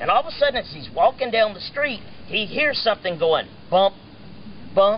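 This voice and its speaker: Fairly quick speech comes with an animated tone. Noticeable background noise is present. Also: man. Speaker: evangelist. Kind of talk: casual live storytelling to an audience, corny joke. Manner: animated, storytelling.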